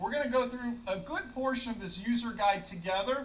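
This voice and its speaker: A man speaks with lively intonation at a fairly quick pace, amid noticeable background noise and audible room echo. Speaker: flight ground school instructor. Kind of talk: tutorial. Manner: fast.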